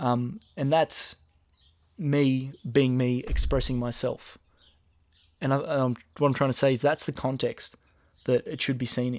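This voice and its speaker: Using long, frequent pauses, a man with an Australian accent speaks at a medium pitch with fairly even intonation. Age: 20s. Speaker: rapper and podcast host. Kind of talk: solo casual monologue. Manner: casual, with many filler ums.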